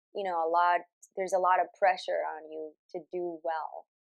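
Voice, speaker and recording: The sound is dry and close with no echo as a woman with fairly low pitch speaks at a moderate pace in a monotone, flat way. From Colombia, La Guajira (Caribbean coast). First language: Spanish. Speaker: singer and voiceover artist. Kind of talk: interview. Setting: home studio.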